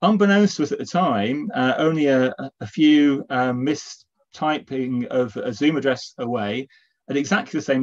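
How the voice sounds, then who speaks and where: A man speaks against a quiet background. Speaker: event host. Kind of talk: welcome introduction to an online talk. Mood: warm, lightly joking. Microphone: video call.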